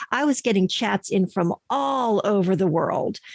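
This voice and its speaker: A woman with an ordinary speaking voice and medium pitch at a fairly slow pace, in a very clean recording with a silent background. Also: dry, close sound with no echo. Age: 60s. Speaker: podcast manager and voice over artist. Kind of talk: interview answer.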